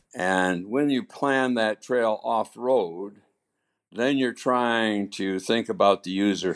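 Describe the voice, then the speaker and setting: The speaker talks at a very slow pace with an American accent. The recording is very clean, with a silent background. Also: man, medium pitch for a man, ordinary pitch variation. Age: 80s+. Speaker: trail volunteer. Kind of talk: interview. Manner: halting.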